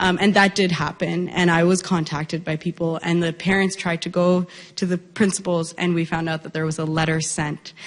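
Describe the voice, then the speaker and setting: Her fairly low voice runs at a fairly quick clip with hardly any pauses, and the woman keeps a monotone, flat delivery throughout. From Peel Region, Ontario, Canada. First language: Punjabi. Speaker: audience member asking a question. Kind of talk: audience Q&A question.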